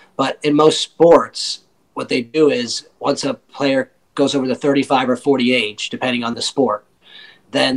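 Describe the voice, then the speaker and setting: In an American accent, a man speaks at a fairly slow pace and medium pitch with ordinary pitch variation in a normal speaking voice, with a dry, close sound and no echo. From Michigan, near Kalamazoo. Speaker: professional disc golfer. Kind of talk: interview. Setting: remote call.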